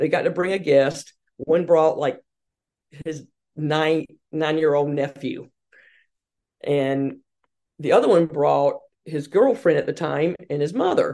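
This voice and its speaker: Speaking at a fairly slow pace with long, frequent pauses, a woman with a Southern US accent has a very deep, low pitch, a dark, mellow tone and ordinary pitch variation. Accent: Southern American. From US South, Hartsville, South Carolina. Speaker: women's sports marketing executive. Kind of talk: interview.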